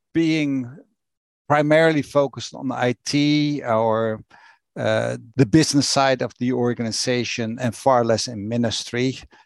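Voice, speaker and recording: With a Dutch accent, a man speaks very slowly with ordinary pitch variation against a quiet background. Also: dry, close sound with no echo. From Netherlands, Rotterdam. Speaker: church executive. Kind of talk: interview. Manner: blunt.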